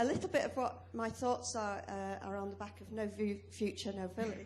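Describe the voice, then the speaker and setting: Speaking at a moderate pace with a British accent, a woman is heard with audible room echo. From UK. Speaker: academic and farmer speaking from the floor. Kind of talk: conference floor contribution. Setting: conference hall with audience.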